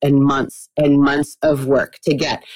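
This woman has an American accent and a very deep, low pitch. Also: dry, close sound with no echo. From Texas (Austin). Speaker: biology professor, marine researcher. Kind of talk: interview.

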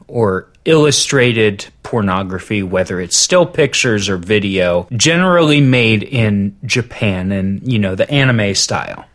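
A man talks at a fairly slow pace in a normal speaking voice, his intonation lively. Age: 30s. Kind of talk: casual chat.

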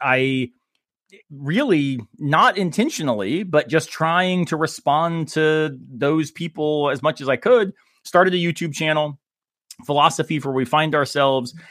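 With an American accent, a man speaks in a normal speaking voice at a fairly high pitch with ordinary pitch variation. He goes at a fairly slow pace, and the sound is dry and close with no echo. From Florida. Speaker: philosophy professor. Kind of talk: casual chat.

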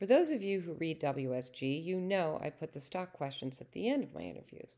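Here is a woman with a plain, everyday voice at a fairly low pitch. She moves at a moderate pace with lively intonation. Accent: American. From Boston, Massachusetts. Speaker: podcast host and blogger. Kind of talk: scripted narration.

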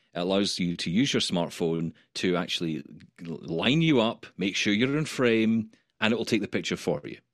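A man with an ordinary speaking voice, fairly low in pitch, with lively intonation at a moderate pace. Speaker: radio host, blind tech presenter. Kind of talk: casual interview chat.

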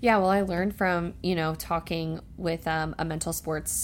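At a very fast pace, a woman with an American accent talks in a very deep, low pitch with vocal fry. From New Jersey, US. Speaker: professional soccer player. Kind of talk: casual interview.

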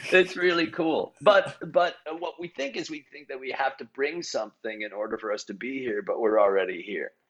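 A man's fairly high voice leaps across very wide pitch swings and big swings in loudness. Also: moderate pace, hardly any pauses. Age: 60s. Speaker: improv teacher and performer. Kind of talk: casual chat. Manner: halting.

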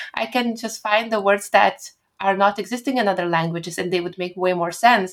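Using a Lithuanian accent, a woman speaks at a fairly quick pace and medium pitch with ordinary pitch variation. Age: 20s. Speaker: pianist and poet. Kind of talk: interview.

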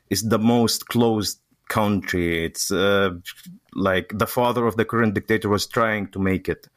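In an Arabic accent, a man speaks at a moderate pace with a fairly low pitch and fairly even intonation, the sound dry and close with no echo. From Syria. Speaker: refugee. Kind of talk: interview conversation. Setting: remote call. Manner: halting, searches for words.

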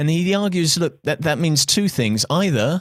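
Ordinary pitch variation from a man with a British accent. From England. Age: 30s. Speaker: podcast host. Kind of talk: interview conversation.

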